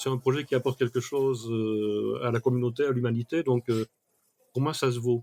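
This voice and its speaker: The man's voice sits at a medium pitch. He speaks at a moderate pace with monotone, flat intonation. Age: 60s. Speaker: mind mapping expert. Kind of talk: podcast interview. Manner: hesitant, with fillers.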